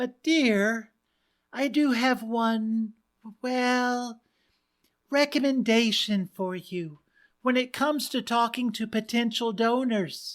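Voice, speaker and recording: In a very clean recording with a silent background, a female-sounding put-on character voice speaks at a fairly high pitch and a fairly slow pace, with long, frequent pauses. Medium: read story. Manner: gentle, hesitant.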